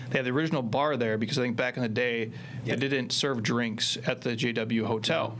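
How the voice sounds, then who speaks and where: A man with a plain, everyday voice talks at a fairly quick pace and medium pitch, with fairly even intonation, very even loudness and light background noise. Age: 40s. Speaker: fitness coach and entrepreneur; fitness coach. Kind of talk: casual chat. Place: studio. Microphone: studio mic.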